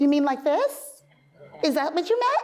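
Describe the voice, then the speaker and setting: A woman does a put-on character voice at a high pitch and a moderate pace. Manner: teasing.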